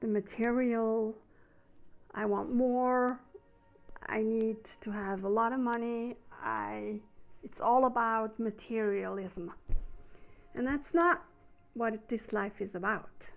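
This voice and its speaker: Over music in the background, a woman with a German accent speaks at a very slow pace and a fairly high pitch, with ordinary pitch variation and long, frequent pauses. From Switzerland. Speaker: spiritual healer. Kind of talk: spiritual talk to camera. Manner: unscripted, slightly halting.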